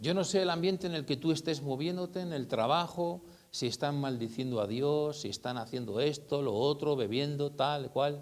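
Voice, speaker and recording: A man with a fairly high voice talks at a moderate pace with hardly any pauses. His pitch varies in an ordinary way. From northern Spain (Basque Country, Eibar) and Burgos. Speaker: lay preacher. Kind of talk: sermon. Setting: church meeting. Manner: halting, repeats words.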